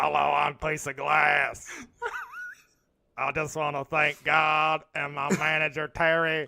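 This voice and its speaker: In a put-on character voice, someone speaks with a raspy middle pitch and a monotone, flat intonation, leaving long, frequent pauses. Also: fairly slow pace. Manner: put-on acceptance speech voice.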